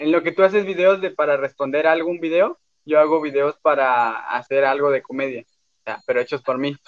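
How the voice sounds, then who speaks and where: A man with a normal speaking voice talks at a fairly quick pace, fairly high in pitch with ordinary pitch variation. The sound is dry and close with no echo. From Mexico, Cancún. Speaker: podcast co-host. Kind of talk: casual chat.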